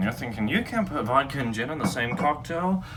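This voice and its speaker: A man with lively intonation, plus audible room echo and noticeable background noise. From Texas. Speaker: home cocktail video host. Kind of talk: casual comedic tutorial. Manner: rambling, halting with fillers.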